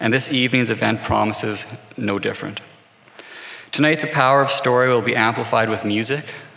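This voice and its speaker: A man of medium pitch in a Canadian accent, fairly quick yet with long, frequent pauses, fairly even in intonation, amid noticeable background noise and audible room echo. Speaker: corporate executive. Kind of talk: formal speech. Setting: stage with audience.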